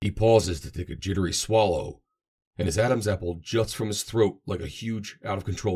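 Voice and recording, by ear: In a quiet background, the passage is read aloud in a natural voice.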